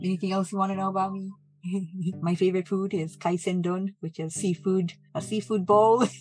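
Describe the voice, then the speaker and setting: Speaking fairly quickly, a woman uses a somewhat breathy, medium-pitched voice with monotone, flat intonation. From Hawaii (Oahu, Wahiawa). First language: Japanese. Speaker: minister and nurse. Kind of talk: casual podcast chat.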